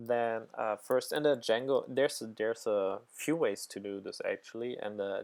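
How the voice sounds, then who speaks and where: A non-native accent at a moderate pace. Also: man. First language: not English. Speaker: programming tutor. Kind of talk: tutorial. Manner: halting, many fillers.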